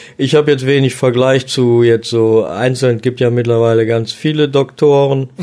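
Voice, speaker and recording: A man with a dark, mellow tone speaks at a medium pitch and moderate pace, with hardly any pauses. His intonation is monotone and flat, and his loudness very even. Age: 50s. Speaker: chef and cooking podcaster. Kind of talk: casual chat.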